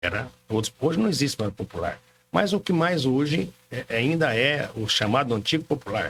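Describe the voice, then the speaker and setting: A man with an unremarkable speaking voice talks at a moderate pace. His pitch is fairly high and his intonation lively. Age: 60s. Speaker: car dealership owner. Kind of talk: podcast interview.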